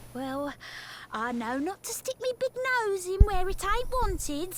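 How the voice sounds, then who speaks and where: A put-on character voice in a Cockney accent moves at a fairly slow pace with very wide pitch swings. Clear background noise can be heard. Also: woman, extremely high pitch for a woman. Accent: London Cockney. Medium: video game. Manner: chatty, knowing.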